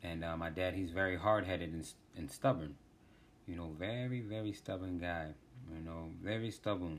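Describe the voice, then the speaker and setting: A man with a very deep, low pitch speaks with ordinary pitch variation. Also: moderate pace. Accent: American. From US, Washington DC. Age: 30s. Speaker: podcast host. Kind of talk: casual monologue.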